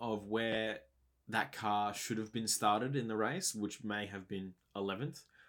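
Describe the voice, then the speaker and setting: This man has an Australian accent and a medium pitch. He talks at a fairly slow pace with a bright, sharp tone and fairly even intonation. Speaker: podcast co-host. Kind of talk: casual chat.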